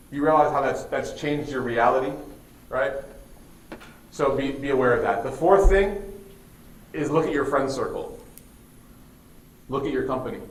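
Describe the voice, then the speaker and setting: With an American accent, a man speaks at a fairly high pitch and a moderate pace, leaving long, frequent pauses. There is noticeable background noise and audible room echo. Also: ordinary pitch variation. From US Midwest, Chicago. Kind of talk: religious talk to students. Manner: casual, conversational.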